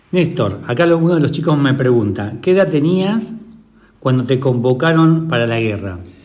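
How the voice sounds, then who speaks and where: A man's fairly high voice with very wide pitch swings, noticeable background noise and audible room echo. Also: moderate pace. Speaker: interviewer, teacher. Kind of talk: interview.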